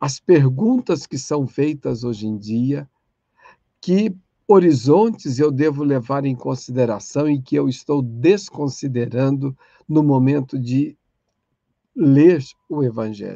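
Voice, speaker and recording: The voice is dark and mellow with lively intonation. It moves at a very slow pace with long, frequent pauses. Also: man, fairly high pitch for a man. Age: 60s. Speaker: catechesis lecturer. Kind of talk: online lecture.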